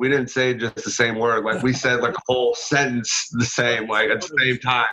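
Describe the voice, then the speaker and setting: With an American accent, a man talks at a medium pitch and a moderate pace. His intonation is monotone and flat. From Illinois, US Midwest. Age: 20s. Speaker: podcast guest, psychedelic community member. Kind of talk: casual chat.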